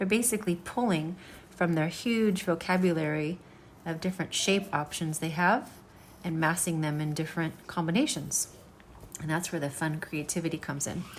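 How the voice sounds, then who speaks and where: An ordinary speaking voice with ordinary pitch variation, moving at a moderate tempo. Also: woman, fairly low pitch for a woman. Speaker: art teacher. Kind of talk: tutorial.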